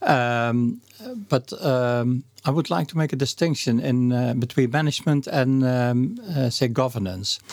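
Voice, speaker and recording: Over noticeable background noise, a man with a Dutch accent talks at a fairly slow pace and medium pitch, with ordinary pitch variation and very even loudness. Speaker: association president. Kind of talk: interview conversation. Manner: slow, halting, many fillers.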